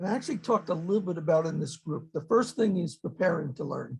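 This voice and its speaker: A high-pitched man with a New York accent at a very fast pace. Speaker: webinar participant, author. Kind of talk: webinar discussion. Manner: direct.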